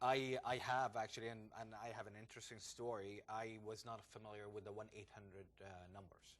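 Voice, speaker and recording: Speaking in an Arabic accent at a fairly quick pace with hardly any pauses, a man uses a fairly low, monotone, flat delivery with big swings in loudness. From Jordan. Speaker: entrepreneur and former banker. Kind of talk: interview. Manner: hesitant, many fillers.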